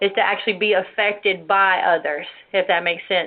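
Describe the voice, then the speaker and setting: A woman speaks at a medium pitch and a moderate pace in an ordinary speaking voice. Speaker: women's ministry show host. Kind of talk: religious teaching talk show.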